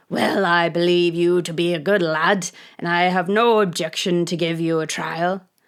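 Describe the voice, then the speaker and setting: Using a put-on character voice, a woman speaks at a fairly low pitch with flat, monotone intonation. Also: moderate pace. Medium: read story.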